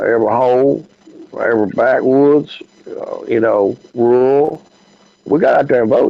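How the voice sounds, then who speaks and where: A man with a Southern US accent at a moderate pace, broken by long, frequent pauses. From US South, Memphis. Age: 60s. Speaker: podcast host. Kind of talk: casual chat. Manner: halting, many fillers.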